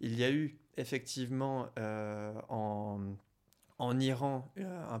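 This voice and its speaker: The pitch of this man's voice sits in the medium range. It varies in an ordinary way. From France, Champigny (Paris region). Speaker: activist for the Kurdish cause. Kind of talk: interview.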